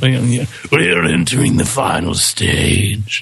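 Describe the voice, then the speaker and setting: At a very slow pace, a man uses a put-on character voice at a medium pitch. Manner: menacing.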